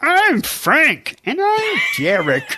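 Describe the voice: This is a put-on character voice. Its pitch is high.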